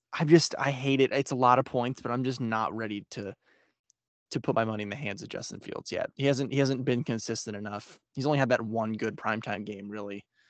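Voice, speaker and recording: Against a quiet background, a man speaks at a fairly quick pace in a medium pitch. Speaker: football podcast host. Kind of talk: casual chat. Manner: more enthusiastic than last time.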